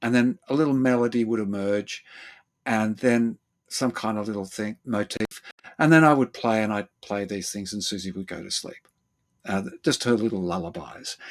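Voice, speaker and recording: Recorded dry and close with no echo, a man with an Australian accent speaks at a moderate pace in a fairly low pitch with ordinary pitch variation. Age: 70s. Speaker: therapist and former actor. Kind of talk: interview. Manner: halting.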